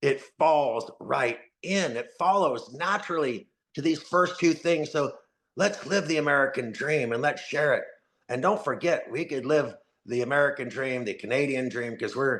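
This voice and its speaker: A man with a normal speaking voice talks at a moderate pace, fairly high in pitch with ordinary pitch variation. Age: 60s. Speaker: company co-founder. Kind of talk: presentation.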